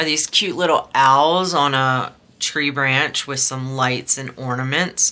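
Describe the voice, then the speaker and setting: At a very slow pace, a woman speaks with a very deep, low pitch. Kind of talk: casual unboxing chat. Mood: relaxed, chatty.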